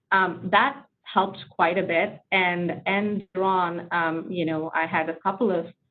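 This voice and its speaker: A speaker with a non-native accent talks at a fairly slow pace. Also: woman, fairly low pitch for a woman. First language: not English. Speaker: tech leader, webinar panelist. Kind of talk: panel discussion.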